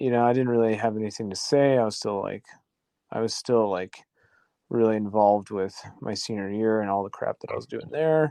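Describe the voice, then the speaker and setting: This man talks fairly quickly in a fairly low pitch, with a dark, mellow tone and ordinary pitch variation. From central Idaho, US (small town). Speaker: podcast guest. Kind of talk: casual chat. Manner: hesitant, many fillers and restarts.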